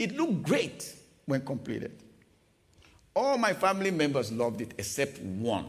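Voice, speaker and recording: Fairly high in pitch, a man talks in an animated tone at a moderate pace, somewhat breathy. His pitch swings very widely, and he leaves long, frequent pauses. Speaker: preacher. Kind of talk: sermon. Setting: church.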